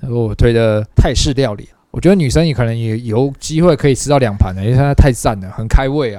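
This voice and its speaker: A man at a medium pitch with a dark, mellow tone, ordinary pitch variation, big swings in loudness, a fairly quick pace and hardly any pauses. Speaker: podcast co-host. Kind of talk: casual chat.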